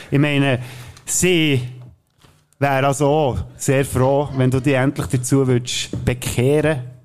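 A man with a Swiss accent speaks at a very slow pace. His fairly high voice is broken by long, frequent pauses. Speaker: podcast co-host. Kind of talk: casual chat with joke telling. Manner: animated.

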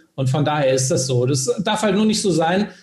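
Moderate-paced speech with ordinary pitch variation over music in the background. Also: man. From Hesse, Germany (Bad Homburg, Frankfurt area). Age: 40s. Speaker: career and sales coach. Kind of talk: podcast interview.

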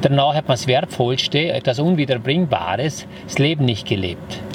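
A man speaks with a strong Vorarlberg accent at a fairly slow pace. Noticeable background noise is present. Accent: broad Vorarlberg dialect. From Vorarlberg, Austria (Lustenau). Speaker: entrepreneur, hotelier and former property developer. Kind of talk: casual interview. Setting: on location at his house.

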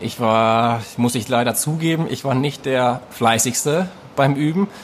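The man has an unremarkable speaking voice with a medium pitch and ordinary pitch variation. He speaks at a fairly slow pace. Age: 20s. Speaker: fitness coach. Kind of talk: interview conversation.

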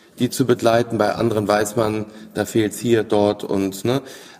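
A man with a normal speaking voice and a fairly low pitch talks at a fairly slow pace with fairly even intonation. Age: 40s. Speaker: family business owner. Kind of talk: interview. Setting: company premises.

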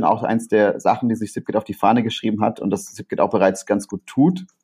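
The tone is dark and mellow, set against a quiet background. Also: man. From Rhineland, Germany. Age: 30s. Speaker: innovation consultant and entrepreneur. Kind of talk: interview. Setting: remote recording. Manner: halting, many fillers.

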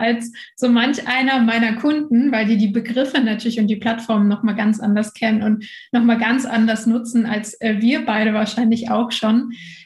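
A woman speaks in a fairly high voice. Her intonation is monotone and flat. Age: 20s. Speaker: entrepreneur and social media mentor. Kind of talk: casual interview. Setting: remote recording.

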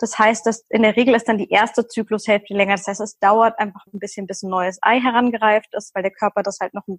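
A woman with a fairly high pitch speaks at a moderate pace in a somewhat breathy voice, her intonation fairly even and the sound dry and close with no echo. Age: 30s. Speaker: nutrition and hormone coach, recovered anorexia patient. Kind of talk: casual interview.

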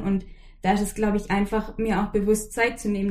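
A woman talks at a fairly quick pace in a monotone, flat delivery. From Swabian Jura, southern Germany. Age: 20s. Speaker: podcast guest. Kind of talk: casual interview.

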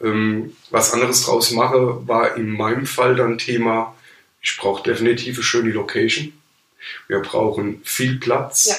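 His intonation is fairly even, his pitch medium. The man talks at a fairly slow pace. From Palatinate, Germany. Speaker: photographer. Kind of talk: casual interview. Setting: studio, in person.

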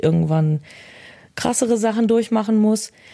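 With ordinary pitch variation and a dark, mellow tone, a woman talks at a moderate speed. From Germany, Bielefeld. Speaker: social media user. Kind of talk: interview. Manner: straight but emotional.

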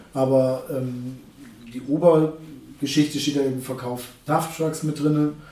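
At a very slow pace with long, frequent pauses, a man speaks in a flat monotone at a fairly high pitch, with noticeable background noise and audible room echo. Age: 30s. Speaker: truck salesman. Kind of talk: casual interview. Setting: at the dealership. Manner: halting, many fillers.

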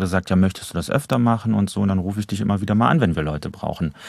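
A man with an unremarkable speaking voice and a fairly low pitch talks with ordinary pitch variation against a quiet background. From Germany, Trier. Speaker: actor and voice actor. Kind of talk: casual interview chat. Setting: studio.

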